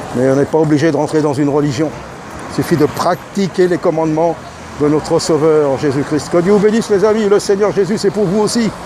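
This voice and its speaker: Noticeable background noise accompanies talking delivered at a fairly quick pace. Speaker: street preacher. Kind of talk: sermon. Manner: loud; fervent.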